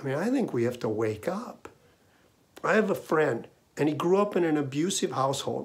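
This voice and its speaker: A man speaks at a moderate pace with a Minnesota accent. His pitch swings very widely. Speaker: essayist. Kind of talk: storytelling monologue. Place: home room. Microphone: webcam.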